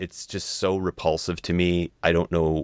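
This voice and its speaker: On a very clean recording with a silent background and a dry, close sound free of echo, a man talks in a very deep, low pitch with vocal fry. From Italian-American household. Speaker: podcast host. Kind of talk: casual chat.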